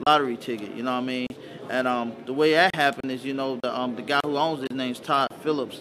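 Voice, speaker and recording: There is noticeable background noise. A man speaks very fast at a medium pitch, with fairly even intonation. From US South, Montgomery, Alabama. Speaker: hip-hop producer and rapper. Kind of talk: interview. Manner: casual, filler-heavy.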